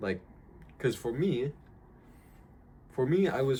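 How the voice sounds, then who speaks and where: A man talks at a moderate pace with ordinary pitch variation, a relaxed tone and a somewhat breathy sound. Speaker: vlogger. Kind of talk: casual vlog monologue. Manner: halting, many fillers; casual and relaxed.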